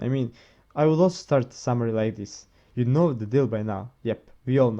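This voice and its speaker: In a non-native accent, a man with a dark, mellow tone talks at a moderate pace with fairly even intonation. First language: not English. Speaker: manga reviewer, video creator. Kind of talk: casual video review. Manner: halting, many repetitions and self-corrections.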